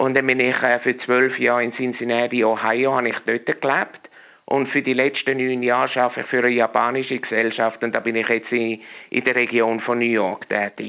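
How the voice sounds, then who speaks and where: The delivery is monotone, with flat intonation. Loudness stays very even throughout. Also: man, medium pitch for a man, moderate pace. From Switzerland, Meilen near Zurich. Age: 50s. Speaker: chef and flavor specialist. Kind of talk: radio interview. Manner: halting, many repetitions and fillers.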